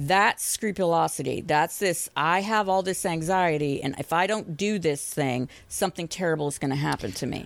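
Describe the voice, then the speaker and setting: This woman has an unremarkable speaking voice, fairly low in pitch, with an American accent. She keeps a moderate pace and ordinary pitch variation on a very clean recording with a silent background. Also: hardly any pauses. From Boston. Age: 50s. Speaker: licensed professional counselor. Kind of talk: podcast interview.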